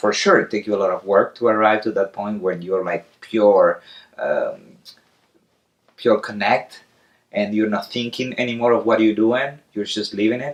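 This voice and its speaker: A man with an Argentine accent speaks at a moderate pace. His voice is fairly low, with fairly even intonation. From Argentina. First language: Spanish. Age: 30s. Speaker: circus clown. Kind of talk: interview. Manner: halting.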